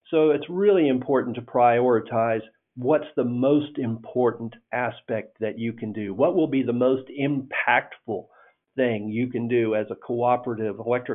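A man speaks at a moderate pace with an American accent, medium pitch, ordinary pitch variation and an ordinary speaking voice. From northern Indiana. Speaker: electric cooperative CEO. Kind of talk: interview.

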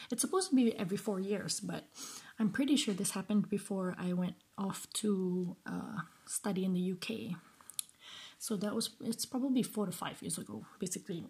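At a moderate pace, a woman speaks in a dark, mellow, somewhat breathy tone, at medium pitch with ordinary pitch variation. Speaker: podcast host. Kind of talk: solo commentary. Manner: halting.

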